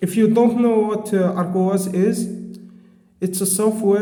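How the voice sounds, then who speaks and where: A man with a non-native accent, fairly even intonation and a moderate pace, amid noticeable background noise and audible room echo. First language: not English. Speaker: tech reviewer. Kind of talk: product review. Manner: halting.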